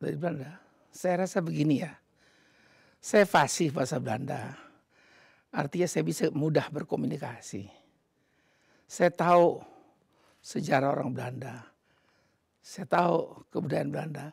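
A man with vocal fry, moderate pace and long, frequent pauses, dry with no echo against a quiet background. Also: fairly high pitch for a man, ordinary pitch variation. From Indonesia. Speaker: ambassador; interviewee. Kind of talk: interview. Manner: halting. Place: home room. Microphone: lapel.

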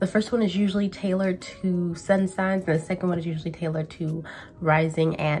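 A woman talks at a fairly quick pace, somewhat breathy and at a fairly low pitch. Her intonation stays fairly even over light background noise. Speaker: tarot reader. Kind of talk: casual vlog chat. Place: home room. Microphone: camera far.

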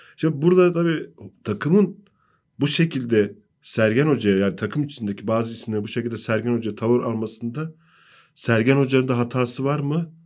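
A man talks at a fairly quick pace over a quiet background, medium in pitch with ordinary pitch variation. He has a normal speaking voice. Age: 40s. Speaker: sports journalist. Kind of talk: football analysis panel discussion. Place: studio. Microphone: studio mic.

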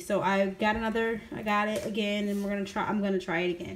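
At a moderate pace, a woman talks at a medium pitch.

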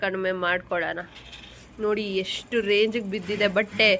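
A woman's medium-pitched voice comes through in a monotone, flat intonation. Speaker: lifestyle vlogger. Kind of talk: casual vlog narration.

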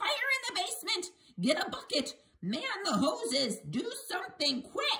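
A put-on character voice, shouting at an extremely high pitch. The pitch swings very widely at a moderate pace. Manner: yelling, frantic.

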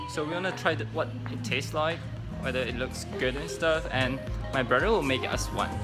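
A man speaks at a moderate pace. Clear music can be heard behind him. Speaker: restaurant staff vlogger. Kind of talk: casual vlog chat. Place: cafe. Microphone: phone near.

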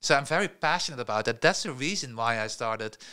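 A man's bright, sharp voice against a quiet background. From Netherlands. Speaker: tech entrepreneur; podcast guest. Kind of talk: interview. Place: studio. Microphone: studio mic.

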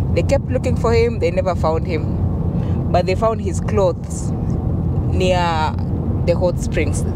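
Loud background noise surrounds a woman speaking at a fairly slow pace. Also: dry sound with no echo. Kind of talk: storytelling. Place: car. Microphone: handheld.

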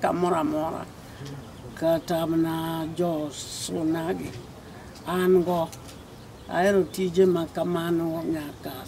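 At a very slow pace, a woman speaks with a fairly low pitch and fairly even intonation over light background noise. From Kenya. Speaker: NGO founder. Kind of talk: interview answer. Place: garden. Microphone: phone near.

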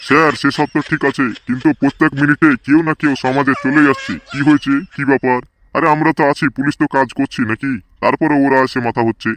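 A man puts on a cartoonish character voice with a fairly high pitch. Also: moderate pace.

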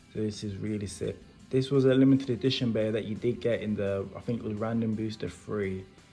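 Faint music plays behind a man speaking with a West Midlands accent. He talks at a fairly quick pace, fairly low in pitch, with fairly even intonation. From Wolverhampton, England. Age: 20s. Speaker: toy reviewer YouTuber. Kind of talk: casual unboxing talk to camera. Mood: enthusiastic. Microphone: phone near.

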